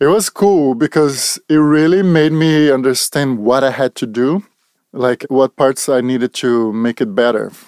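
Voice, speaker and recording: A man with a Brazilian accent, in a very clean, dry, close recording with no echo and a silent background. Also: very even loudness. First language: Portuguese. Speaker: portrait photographer. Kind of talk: casual interview. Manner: halting.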